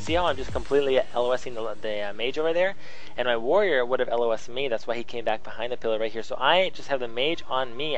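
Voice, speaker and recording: A man's medium-pitched voice at a very fast pace with ordinary pitch variation, amid noticeable background noise and audible room echo. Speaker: gaming video commentator. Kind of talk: gameplay commentary tutorial. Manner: halting, many fillers.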